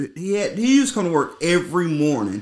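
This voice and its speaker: The man's pitch rises and falls very widely. He moves along fairly quickly. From US South. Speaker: podcast host. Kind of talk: casual chat. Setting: indoors at a friend's house.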